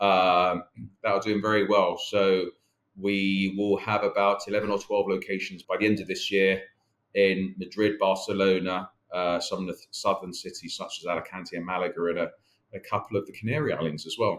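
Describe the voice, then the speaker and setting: In a very clean recording with a silent background, a man speaks with a South London accent. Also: moderate pace. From South London, England. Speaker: company chief executive. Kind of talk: interview. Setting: podcast. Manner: halting, many fillers.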